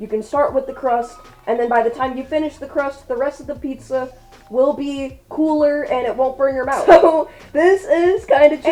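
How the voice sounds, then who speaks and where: Loud and animated, a woman speaks in a high voice over music in the background. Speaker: furry content creator and fursuit maker. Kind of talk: casual vlog reading follower assumptions. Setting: home video recording with ring light.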